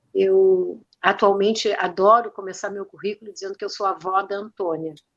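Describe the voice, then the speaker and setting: A woman's voice, flat and monotone in intonation, with big swings in loudness. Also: medium pitch for a woman, moderate pace. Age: 60s. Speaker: retired teacher and restorative justice practitioner. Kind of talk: interview conversation.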